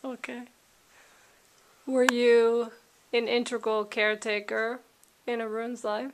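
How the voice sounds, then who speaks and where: A woman speaks at a fairly high pitch in a flat monotone. She leaves long, frequent pauses. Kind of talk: interview question.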